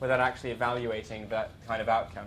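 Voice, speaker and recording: Speech at a very fast pace comes through with noticeable background noise and audible room echo. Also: man. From outside UK, US, Canada and Ireland. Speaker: students' union president. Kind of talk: conference talk. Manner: hesitant, many fillers.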